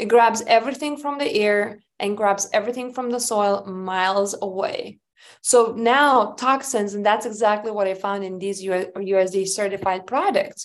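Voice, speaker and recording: This woman has a Lithuanian accent and a medium pitch with ordinary variation. She talks at a fairly slow pace against a quiet background. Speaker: hemp company founder. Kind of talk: interview.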